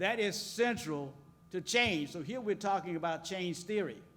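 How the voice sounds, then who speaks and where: The speaker keeps a moderate pace and ordinary pitch variation despite noticeable background noise. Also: man. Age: 70s. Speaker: business school dean. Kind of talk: panel speech.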